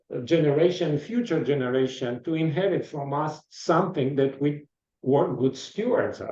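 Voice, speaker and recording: This man speaks with an Eastern European accent. His pitch is fairly high with ordinary variation. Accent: foreign accent, Eastern European. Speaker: podcast interviewer. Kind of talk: interview.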